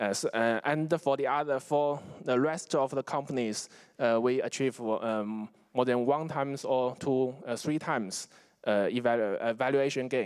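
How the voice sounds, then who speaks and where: On a very clean recording with a silent background, a man with a Chinese accent speaks at a medium pitch and moderate pace, with ordinary pitch variation and very even loudness. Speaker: investment fund executive. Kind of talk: conference presentation. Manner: halting, many fillers and restarts.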